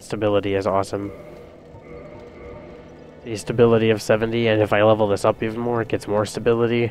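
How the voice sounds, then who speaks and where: With music in the background, a man talks at a very fast pace in a fairly low, monotone, flat voice broken by long, frequent pauses. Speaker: video game let's play commentator. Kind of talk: casual gameplay commentary. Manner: soft-spoken, relaxed.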